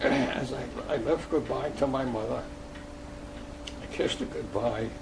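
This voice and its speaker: A man with an American accent speaks at a moderate pace amid audible room echo and noticeable background noise. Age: 90s. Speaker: war veteran. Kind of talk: oral history interview. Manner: halting.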